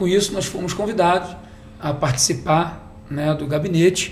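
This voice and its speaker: A man talks at a moderate pace with a high pitch. Music plays in the background. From Baixada Fluminense, Rio de Janeiro, Brazil. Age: 40s. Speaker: political candidate and businessman. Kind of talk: podcast interview. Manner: halting, with restarts.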